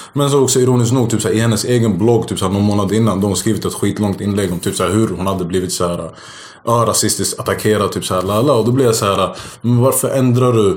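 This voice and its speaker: A man talks very fast at medium pitch with ordinary pitch variation. Audible room echo surrounds his voice. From Sweden. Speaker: stand-up comedian. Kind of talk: casual chat.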